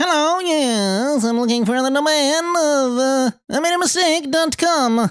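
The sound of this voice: A put-on character voice comes through at a high pitch. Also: fairly slow pace.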